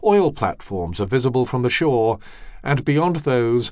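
Against a quiet background, a man with a medium pitch speaks at a moderate pace with lively intonation in a normal speaking voice. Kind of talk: audiobook narration, scripted reading aloud of nonfiction. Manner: measured, even and steady, formal literary delivery.

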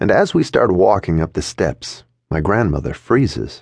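Lively intonation marks this man's delivery at a moderate pace. He has an unremarkable speaking voice. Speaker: audiobook narrator. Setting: studio.

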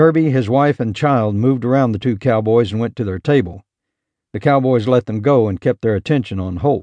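A man's dark, mellow voice at medium pitch, fairly quick pace and ordinary pitch variation, with a dry, close sound with no echo and a quiet background. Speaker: audiobook narrator. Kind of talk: dramatic audiobook narration of a western, reading aloud with character voices. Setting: studio recording. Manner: tense, gritty, shifting between narration and gruff cowboy dialogue; measured, building suspense before a quick burst of gunfire action.

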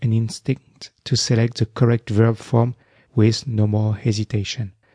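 Somewhat breathy, with a dark, mellow tone, a man speaks at a medium pitch and very slow pace in a dry, close sound with no echo. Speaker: French language teacher. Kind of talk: language drill audiobook.

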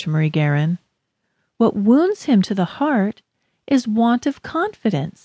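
A woman speaks at a fairly slow pace, her dark, mellow tone sweeping through very wide pitch swings. The sound is dry and close, with no echo. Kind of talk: audiobook reading. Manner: measured, even, earnest; formal, instructive.

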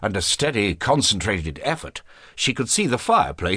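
This is a reading. It is delivered plainly, aloud.

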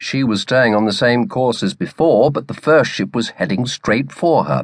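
A man speaks in a plain, everyday voice at a medium pitch and moderate pace, with lively intonation, over a quiet background in a dry, close sound with no echo. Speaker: audiobook narrator. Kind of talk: dramatic audiobook narration of a naval battle scene.

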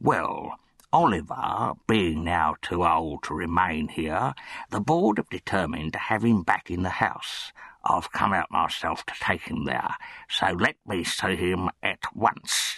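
Over a quiet background, a man puts on a raspy, pompous character voice with a very deep, low pitch, speaking at a fairly slow pace. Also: ordinary pitch variation, dry, close sound with no echo. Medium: read story. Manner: pompous, officious.

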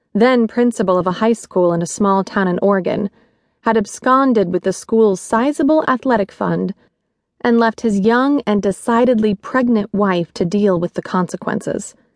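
Over a quiet background, a woman with an ordinary speaking voice speaks at a moderate pace and fairly high pitch, with ordinary pitch variation, very even loudness, and a dry, close sound with no echo. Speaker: audiobook narrator. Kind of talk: audiobook narration of a romance novel. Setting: studio. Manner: measured, expressive storytelling pace.

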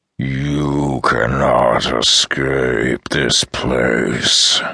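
A man puts on a character voice that is growling and raspy. His pitch is very deep and low. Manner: snarling, contemptuous, menacing.

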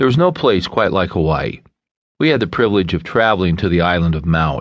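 A man talks in a very deep, low pitch with a warm tone. His intonation is lively. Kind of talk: audiobook narration, reading a self-help book aloud. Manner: warm, earnest, conversational teaching tone.

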